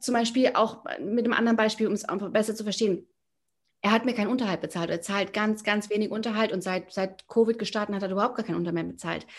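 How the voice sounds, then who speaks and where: Speaking at a very fast pace, a woman keeps a fairly even intonation at a fairly high pitch. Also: quiet background. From Germany, near Frankfurt. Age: 40s. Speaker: spiritual coach, former banker. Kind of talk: casual interview. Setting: video call. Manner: halting, many fillers.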